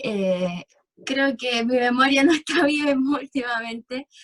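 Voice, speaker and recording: High-pitched woman's voice at a very slow pace with ordinary pitch variation, in a dry, close sound with no echo. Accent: Chilean. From central Chile, Valparaíso region interior. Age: 20s. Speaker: clinical lab technician, interviewee. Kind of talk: casual interview. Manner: hesitant, many fillers.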